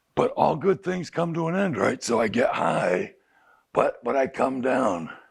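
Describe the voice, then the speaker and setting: A man speaks at a fairly slow pace. His voice carries vocal fry. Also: fairly high pitch for a man, lively intonation. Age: 60s. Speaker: addiction counselor. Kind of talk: group talk. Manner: animated.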